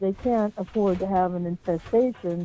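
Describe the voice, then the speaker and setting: Dark and mellow in tone, a woman's voice sits at medium pitch with ordinary pitch variation and a moderate pace. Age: 60s. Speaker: caller. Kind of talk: phone-in question. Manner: halting.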